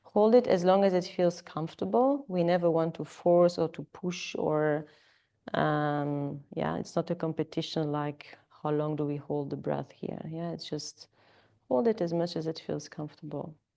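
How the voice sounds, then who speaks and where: A woman with a French accent speaks at a moderate pace, her pitch very deep and low with ordinary variation. Her tone is dark and mellow over a quiet background. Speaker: yoga teacher. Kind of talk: live yoga class instruction. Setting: yoga studio with students. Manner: hesitant, filler-heavy.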